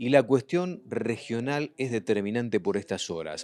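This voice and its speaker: Here a man speaks in a plain, everyday voice at a fairly low pitch. His pace is moderate, with ordinary pitch variation. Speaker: agricultural TV show host. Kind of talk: TV report narration.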